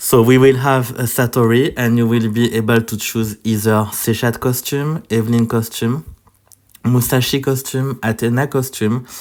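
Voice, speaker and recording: A man with a French accent talks at a moderate pace. His medium-pitched voice stays monotone and flat. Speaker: mobile game content creator. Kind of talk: gaming guide video. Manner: halting, many fillers.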